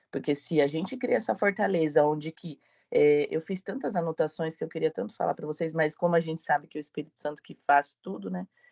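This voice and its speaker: A woman with a very deep, low pitch, lively intonation and big swings in loudness, in a dry, close sound with no echo. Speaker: book club member. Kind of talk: casual chat.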